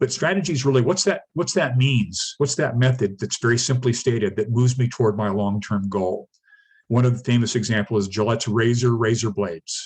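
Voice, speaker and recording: Somewhat breathy, a man talks at a fairly quick pace with a medium pitch. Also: ordinary pitch variation. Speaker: startup mentor giving a business workshop. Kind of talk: lecture. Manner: fast.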